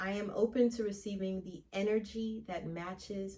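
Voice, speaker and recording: A somewhat breathy woman's voice at medium pitch, fairly slow in pace. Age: 30s. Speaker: podcast host. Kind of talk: casual monologue. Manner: casual, conversational.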